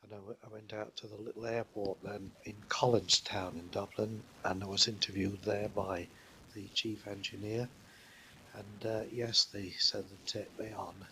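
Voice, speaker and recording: With a Yorkshire accent, a man speaks at a fairly low pitch and a moderate pace. His intonation is monotone and flat, though his loudness swings widely. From northern England, Leeds. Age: 80s+. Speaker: war veteran. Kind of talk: life story interview. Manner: halting.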